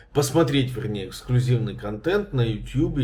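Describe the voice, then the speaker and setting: A somewhat breathy man's voice at medium pitch. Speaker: journalist and video blogger. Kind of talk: legal explainer vlog. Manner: conversational with hesitations.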